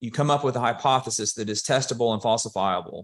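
The delivery comes at a moderate pace with an Alabama accent and ordinary pitch variation. The background is quiet. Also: man. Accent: Southern US (Alabama). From US South (Alabama, Birmingham area). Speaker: software executive. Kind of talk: casual interview.

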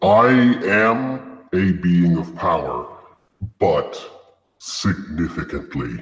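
In a put-on character voice, a man speaks very slowly at a very deep, low pitch, with long, frequent pauses and a clear echo. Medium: actual play. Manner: solemn, formal, measured.

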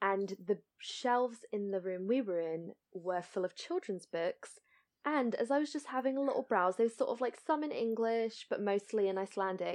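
A woman talks in an ordinary speaking voice with lively intonation. The background is quiet. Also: fairly high pitch for a woman, moderate pace. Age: 30s. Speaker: podcast co-host. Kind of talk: casual chat.

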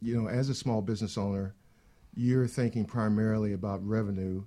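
Fairly low in pitch, a man speaks in a dark, mellow tone with ordinary pitch variation. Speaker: nonprofit president. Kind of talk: panel interview, casual but professional. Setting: studio.

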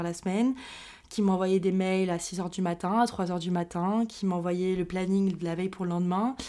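A woman's voice at medium pitch carries a dark, mellow tone. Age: 20s. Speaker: podcast host, mental health professional. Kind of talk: personal monologue podcast. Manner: casual, many fillers. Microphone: new microphone.

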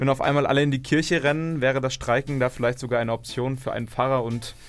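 The man speaks at a very fast pace. His pitch sits in the medium range. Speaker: campus radio host. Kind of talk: news reading; radio talk show. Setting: studio. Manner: live.

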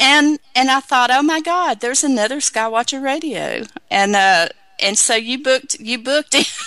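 A woman uses a raised, projected voice at very even loudness. Her pitch variation is ordinary. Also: moderate pace. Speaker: radio show host. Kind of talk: casual chat.

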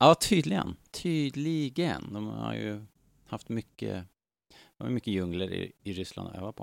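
In a very clean, dry, close recording with a silent background and no echo, a man with a fairly low pitch speaks at a fairly slow pace, his pitch swinging very widely and his loudness rising and falling a lot. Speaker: podcast host. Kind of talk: casual chat.

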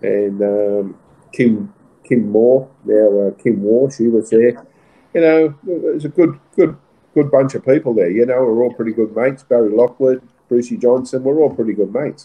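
Here a man speaks with an Australian accent at a medium pitch. He keeps a moderate pace and ordinary pitch variation. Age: 60s. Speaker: retiring racehorse trainer. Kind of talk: interview. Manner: halting, many fillers.

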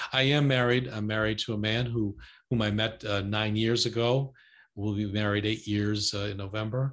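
A man with an American accent and fairly low pitch at a moderate pace, monotone and flat, over a quiet background. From United States. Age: 70s. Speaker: podcast guest on helping others. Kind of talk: casual interview conversation.

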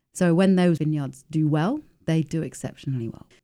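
In an English accent, a woman speaks at a fairly quick pace with a very deep, low pitch, a dark, mellow tone and fairly even intonation. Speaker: winemaker. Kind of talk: interview. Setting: studio.

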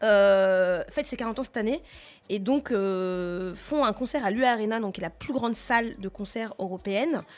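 A woman with a normal speaking voice talks at a fairly slow pace. Her pitch is fairly high with ordinary pitch variation, in a very clean recording with a silent background. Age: 30s. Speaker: radio co-host. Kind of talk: casual chat.

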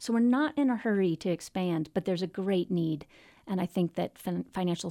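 A woman with an American accent at a fairly quick pace, dry and close with no echo, on a very clean recording with a silent background. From Virginia. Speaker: mindfulness teacher, nonprofit founder. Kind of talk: radio interview.

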